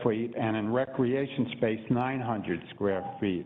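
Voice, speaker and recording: A man with a Brooklyn accent talks at a very slow pace, with ordinary pitch variation. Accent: Brooklyn New York. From New York City (Brooklyn). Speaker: public commenter. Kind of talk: public testimony.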